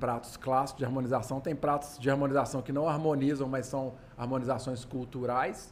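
A medium-pitched man speaks at a moderate pace with audible room echo. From Minas Gerais, Brazil. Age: 40s. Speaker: craft brewer. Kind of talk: casual chat.

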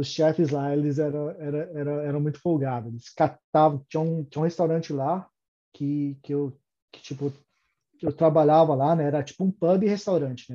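The man keeps a moderate pace and fairly even intonation at a fairly high pitch. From Brazil, São Paulo. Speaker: electrical engineer and immigrant. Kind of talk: casual interview. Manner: halting, many repetitions.

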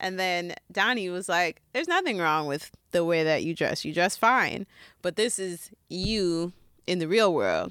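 A woman's normal speaking voice at a medium pitch, fairly slow pace and ordinary pitch variation, on a very clean recording with a silent background. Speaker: music podcast co-host. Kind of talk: casual chat.

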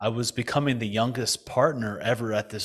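In an American accent, a man with a normal speaking voice talks at a moderate pace and a medium pitch. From US, New Jersey. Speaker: financial advisor, retired hedge fund partner. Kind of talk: podcast interview.

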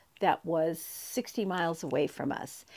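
A woman with an American accent and ordinary pitch variation on a very clean recording with a silent background. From US West, San Diego County. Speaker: aunt of the host, mother. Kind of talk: casual interview.

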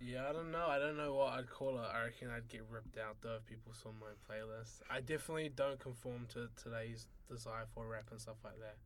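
Audible room echo surrounds a man speaking fairly quickly at a medium pitch. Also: fairly even intonation. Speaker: university student. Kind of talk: casual chat.

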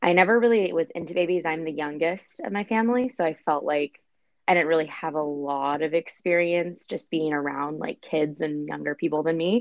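A woman with an ordinary speaking voice talks at a fairly quick pace and fairly low pitch, with ordinary pitch variation. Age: 30s. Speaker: podcast guest. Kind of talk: casual chat.

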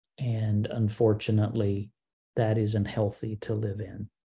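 Against a quiet background, a man speaks at a fairly slow pace in a fairly low, somewhat breathy voice with a dark, mellow tone. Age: 50s. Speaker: podcast host. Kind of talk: solo Q&A podcast monologue.

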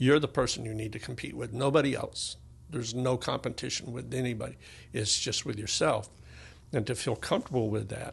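Against a quiet background, a man with vocal fry talks fairly quickly at a medium pitch with ordinary pitch variation. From Tennessee. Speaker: musician and music academy owner. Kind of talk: casual interview. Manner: halting.

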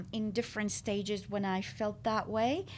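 A woman is speaking. She has an Arabic accent. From Syria. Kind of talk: interview conversation. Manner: hesitant, many fillers.

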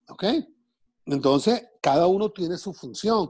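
A man talks at a fairly slow pace in a somewhat breathy voice. His pitch swings very widely. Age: 60s. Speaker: TV and radio entertainer. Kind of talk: casual interview.

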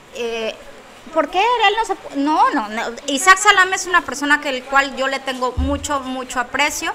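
A woman's raised, projected voice, high in pitch, at a moderate pace amid noticeable background noise. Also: lively intonation. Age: 40s. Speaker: comedian and psychologist. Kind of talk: casual chat.

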